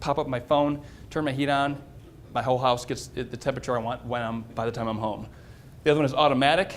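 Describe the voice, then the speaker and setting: Very fast delivery from a man at medium pitch. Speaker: tech presenter at a tent manufacturing company. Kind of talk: short tech presentation.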